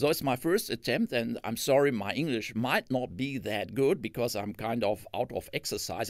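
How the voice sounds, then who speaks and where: A man with a German accent speaks at a medium pitch and a moderate pace, with ordinary pitch variation, in a very clean recording with a silent background. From Germany. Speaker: retired physics professor. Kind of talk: lecture. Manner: halting.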